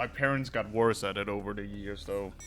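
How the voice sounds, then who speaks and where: Music plays in the background. Over it, a man speaks in a fairly low voice. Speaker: streamer. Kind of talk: casual chat. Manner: halting.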